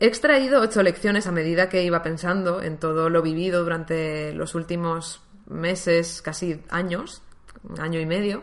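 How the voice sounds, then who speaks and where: A woman with an unremarkable speaking voice, a fairly low pitch, ordinary pitch variation and a moderate pace. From Valencia, Spain. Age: 20s. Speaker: podcaster. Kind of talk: personal monologue.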